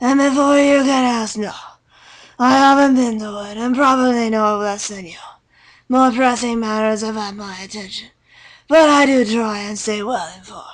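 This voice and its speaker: Someone puts on a character voice, fairly high in pitch, delivered at a moderate pace. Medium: read story. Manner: dry, amused.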